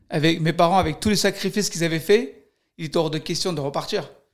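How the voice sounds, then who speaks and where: A high-pitched man speaks at a fairly quick pace with fairly even intonation. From Armenia, then Paris region, France. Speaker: professional boxer. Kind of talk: interview.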